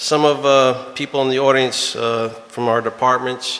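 This man speaks in a monotone, flat intonation with an American accent. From US Northeast. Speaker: town supervisor chairing the board meeting. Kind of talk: public town board meeting. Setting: town hall meeting with public present. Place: meeting room.

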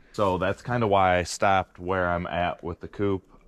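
Dry sound with no echo carries a man's very deep, low voice in a monotone, flat intonation. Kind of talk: casual vlog chat. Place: forest. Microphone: phone near.

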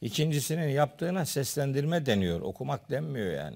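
A fairly quick pace against a quiet background. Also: man. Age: 60s. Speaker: theology professor. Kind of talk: religious discussion. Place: studio. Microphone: lapel.

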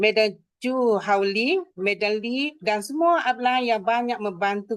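This woman has a plain, everyday voice. Her pitch is fairly high, with ordinary variation. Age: 60s. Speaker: direct sales entrepreneur. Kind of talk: testimony speech.

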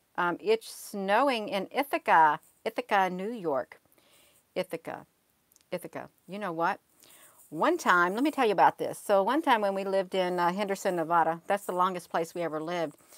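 Lively in her intonation, a woman talks at a moderate pace in a dry sound with no echo and a quiet background. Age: 50s. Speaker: livestream host. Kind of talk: casual live chat with viewers. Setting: livestream at home computer. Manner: rambling, hesitant with many fillers. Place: home room. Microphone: earbuds.

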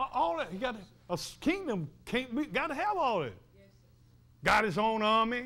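A man with an extremely high pitch and a bright, sharp tone speaks animatedly at a moderate pace in a raised, projected voice, with very wide pitch swings, big swings in loudness and long, frequent pauses. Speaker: preacher. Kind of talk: fervent sermon with call-and-response. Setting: church. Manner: animated, impassioned, with frequent laughter. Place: church.

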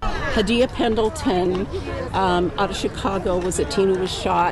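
A woman speaks at a moderate pace with ordinary pitch variation. Crowd noise fills the background, while the sound itself is dry with no echo. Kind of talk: interview answer. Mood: earnest, explanatory. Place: open country.

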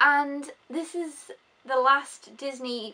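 A woman is talking. Her voice is raised and projected. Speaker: film reviewer. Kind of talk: casual vlog chat. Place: home room. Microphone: phone near.

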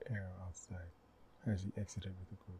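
Over noticeable background noise, a soft-spoken man whispers at a moderate pace. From Haiti. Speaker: author reading own book. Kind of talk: audiobook reading. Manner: soft-spoken, whispered.

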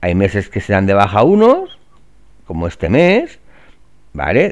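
In an ordinary speaking voice, a man talks with fairly low pitch at a moderate pace. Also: quiet background. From Valencia, Spain. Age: 40s. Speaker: real estate trainer. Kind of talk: screen-share tutorial. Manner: casual, filler-heavy.

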